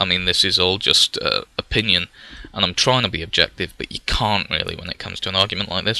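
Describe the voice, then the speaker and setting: A man talks very fast at a fairly low pitch, his intonation fairly even. The sound is dry and close with no echo, though there is noticeable background noise. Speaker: gaming vlogger. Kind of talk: casual talk to camera. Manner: hesitant, filler-heavy.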